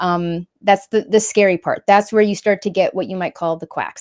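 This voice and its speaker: A woman talks at a very fast pace. The sound is dry and close with no echo, in a very clean recording with a silent background. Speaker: YouTuber on social commentary and faith. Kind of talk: live stream talk answering chat. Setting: live stream.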